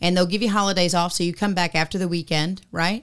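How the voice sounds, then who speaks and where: A woman speaks at a fairly quick pace with an animated tone and a medium pitch. The recording is very clean, with a silent background. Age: 50s. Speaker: podcast co-host. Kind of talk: casual chat.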